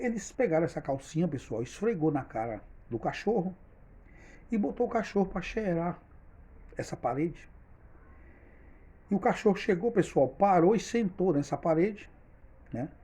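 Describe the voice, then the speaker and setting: A man speaks at a high pitch in a dark, mellow tone, with lively intonation. He takes long, frequent pauses. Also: moderate pace. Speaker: storyteller, channel owner. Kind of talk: storytelling monologue.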